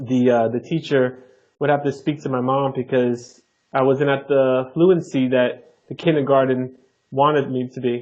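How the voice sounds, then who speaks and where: A man with a New Jersey accent, medium pitch, fairly even intonation and a moderate pace. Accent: New Jersey American. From Jersey City, New Jersey, US. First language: Neapolitan Italian. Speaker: flight attendant and language learner. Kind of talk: podcast interview.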